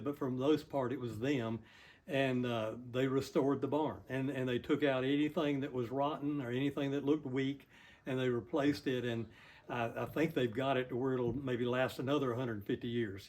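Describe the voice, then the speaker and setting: With an American accent, a man talks at a fairly quick pace and medium pitch, keeping his intonation fairly even. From South Carolina. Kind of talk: oral history interview answer. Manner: halting, with fillers.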